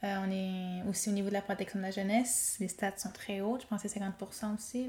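With a normal speaking voice, a woman talks at a moderate pace with fairly even intonation. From Quebec North Shore (Pessamit Innu community). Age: 20s. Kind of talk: interview conversation.

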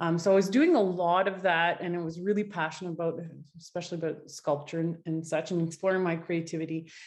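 In a French-Canadian accent, a woman with a fairly low voice talks at a very fast pace in a monotone, flat intonation. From Quebec, Gatineau (Ottawa area). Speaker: artist. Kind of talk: interview.

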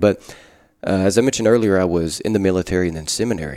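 With an Arkansas accent, a man speaks at a fairly quick pace and very deep, low pitch. His intonation is fairly even, and the recording is very clean with a silent background. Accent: Southern US (Arkansas). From US South, Arkansas Delta. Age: 30s. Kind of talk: casual chat. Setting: rectory.

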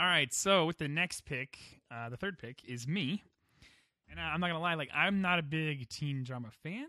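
A man's plain, everyday voice at a fairly high pitch, ordinary pitch variation and a moderate pace. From United States. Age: 30s. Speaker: podcast host. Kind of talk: casual panel chat.

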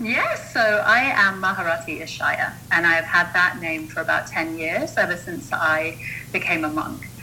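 With noticeable background noise and audible room echo, a woman talks at a moderate pace in a fairly low pitch with lively intonation. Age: 40s. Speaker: mindset coach and monk. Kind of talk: interview conversation.

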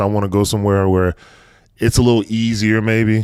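An American accent, a normal speaking voice, and a fairly quick pace. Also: man. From North Carolina. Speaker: podcast host, sports parent. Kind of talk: casual interview chat.

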